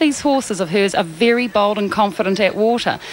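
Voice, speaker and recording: A woman's medium-pitched voice, with ordinary pitch variation, comes through noticeable background noise. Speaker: TV sports presenter. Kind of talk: live sports commentary.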